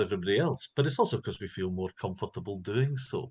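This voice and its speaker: A man with a Scottish accent talks at a moderate pace. His voice is somewhat breathy over a quiet background. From Scotland. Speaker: linguistics professor. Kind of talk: lecture.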